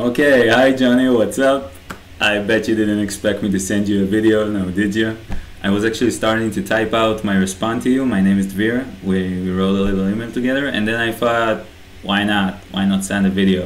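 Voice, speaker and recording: There is audible room echo and noticeable background noise as a man speaks with fairly even intonation. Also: fairly low pitch for a man, moderate pace. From Israel. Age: young. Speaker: aspiring online entrepreneur. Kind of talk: personal video message. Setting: bedroom, self-recorded video. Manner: casual, hesitant with fillers.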